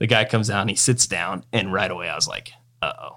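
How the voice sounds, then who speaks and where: A man's fairly low, bright, sharp voice with an American accent, at a very fast pace with fairly even intonation, in a very clean recording with a silent background. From eastern Washington, US. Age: 30s. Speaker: golf apparel entrepreneur. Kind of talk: casual interview.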